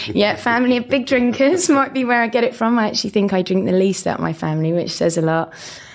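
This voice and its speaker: A woman talks at a very fast pace with hardly any pauses, her voice fairly high in pitch. Her intonation is lively, and there is noticeable background noise. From southeast England, Dartford near Kent/Essex border. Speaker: company director. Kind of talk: casual interview chat. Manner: animated, lively.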